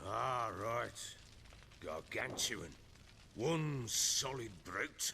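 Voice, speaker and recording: A man puts on a raspy character voice at a medium pitch with ordinary pitch variation. He talks at a very slow pace, with long, frequent pauses. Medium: video game. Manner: gruff, blunt, profane.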